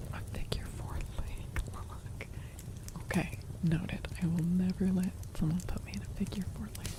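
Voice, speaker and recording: A whispering woman with long, frequent pauses over noticeable background noise. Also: moderate pace. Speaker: ASMR streamer. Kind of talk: casual live-stream chat with viewers. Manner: casual, expressive, candid.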